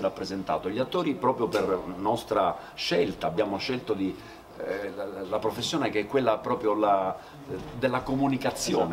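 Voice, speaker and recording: Noticeable noise sits in the background. Over it, a man speaks at a moderate pace. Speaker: theatre actor. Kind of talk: interview answer. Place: stage. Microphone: camera far.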